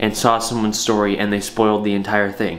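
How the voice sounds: A man talks at a fairly quick pace in a fairly bright tone, with faint background noise behind him.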